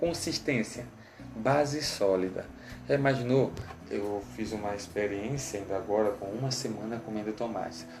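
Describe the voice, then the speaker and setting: A man's fairly low voice at a moderate pace with ordinary pitch variation, music in the background and audible room echo. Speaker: teacher. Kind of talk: lecture.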